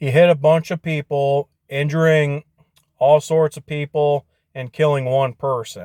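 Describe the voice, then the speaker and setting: Fairly slow speech with an American accent carries a dark, mellow tone, fairly even intonation and big swings in loudness, with a dry, close sound and no echo. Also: man, fairly high pitch for a man. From Michigan (Portage area). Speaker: YouTuber vlogger. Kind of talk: casual vlog monologue.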